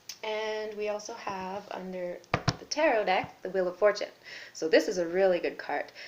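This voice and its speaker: Over noticeable background noise, a woman speaks at a moderate pace with medium pitch and ordinary pitch variation. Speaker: tarot reader. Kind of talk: tarot reading video.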